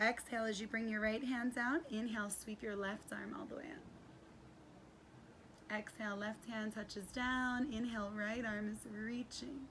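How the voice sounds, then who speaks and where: A woman's fairly high-pitched voice at a fairly slow pace, fairly even intonation, noticeable background noise throughout. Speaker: yoga instructor. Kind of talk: guided yoga class. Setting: outdoors. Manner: projecting loudly.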